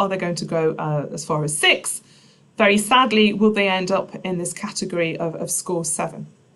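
Her speaking pace is moderate. The voice belongs to a woman. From Nottinghamshire, England. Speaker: biochemistry professor; professor giving a talk. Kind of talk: public science lecture. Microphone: webcam.

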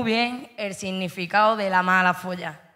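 Against a quiet background, a woman with an Andalusian accent speaks fairly slowly with fairly even intonation. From Andalusia, Spain. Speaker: slam poet. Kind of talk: poetry performance. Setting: stage with audience. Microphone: handheld.

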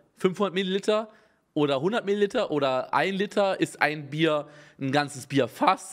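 Against a quiet background, a man speaks in an animated tone with ordinary pitch variation. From Germany, not Bavaria. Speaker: streamer reacting to videos. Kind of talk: casual live-stream reaction commentary. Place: home room. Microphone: studio mic.

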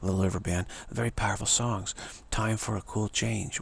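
A man speaks with vocal fry at a fairly low pitch, his fairly bright tone showing little pitch movement.

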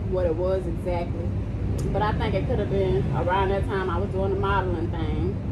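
A woman talks at a fairly quick pace. Loud background noise is present. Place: street. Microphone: phone near.

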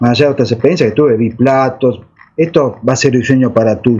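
In an Argentine accent, a man talks at a moderate pace and medium pitch, somewhat breathy, with ordinary pitch variation. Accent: Rioplatense Argentine Spanish. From Argentina, Buenos Aires. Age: 60s. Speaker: alleged UFO contactee; interviewee. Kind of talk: interview testimony. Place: home room. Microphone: video call.

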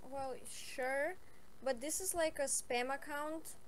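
Noticeable background noise and audible room echo fill the clip. A woman speaks with a high pitch, ordinary pitch variation and a fairly slow pace. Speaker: online chat partner. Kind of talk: casual chat.

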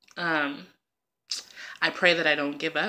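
A woman's bright, sharp voice at a very deep, low pitch, with monotone, flat intonation. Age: 30s. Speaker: vlogger. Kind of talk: personal video diary. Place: home room. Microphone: phone near.

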